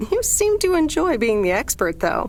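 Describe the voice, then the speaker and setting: A squeaky, put-on character voice talks at a moderate pace. Background noise is clearly audible. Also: woman. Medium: video game. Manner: dry, wry.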